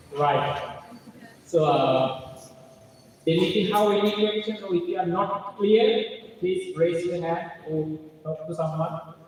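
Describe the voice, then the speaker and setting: With a Sri Lankan accent and a high pitch, a man speaks at a very slow pace with ordinary pitch variation and long, frequent pauses, amid audible room echo and noticeable background noise. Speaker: seminar speaker. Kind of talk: lecture. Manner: interactive, giving audience commands.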